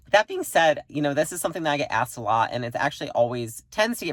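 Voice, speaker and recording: The recording is very clean, with a silent background. A woman speaks at a very fast pace. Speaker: entrepreneur, company CEO. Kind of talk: talking-head advice video. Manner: casual, conversational.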